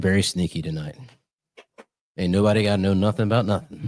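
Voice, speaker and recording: Soft-spoken and very fast, a man talks at a fairly low pitch. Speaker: podcast host. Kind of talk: casual chat. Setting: studio. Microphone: slight room echo.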